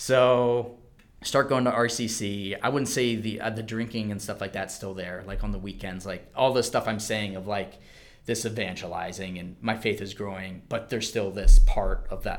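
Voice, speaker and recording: Speaking with an American accent, a man has an unremarkable speaking voice, fairly low in pitch, with fairly even intonation. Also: moderate pace. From US Mid-Atlantic, Maryland (Calvert County). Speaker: physical therapist. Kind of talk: testimony.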